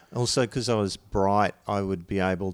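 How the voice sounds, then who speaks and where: On a very clean recording with a silent background, a man speaks in a very deep, low voice. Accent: Australian. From Toowoomba region, Queensland, Australia. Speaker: comedian. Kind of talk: casual chat.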